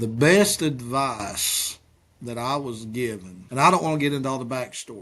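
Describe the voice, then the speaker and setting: Against a quiet background, a man with an Appalachian accent talks at medium pitch with ordinary pitch variation. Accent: Appalachian Kentucky. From Eastern Kentucky. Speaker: pastor. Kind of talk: interview answers.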